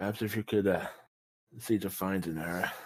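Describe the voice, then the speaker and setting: Putting on a raspy character voice, a man speaks at a fairly low pitch and a moderate pace. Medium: actual play. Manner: blunt, folksy.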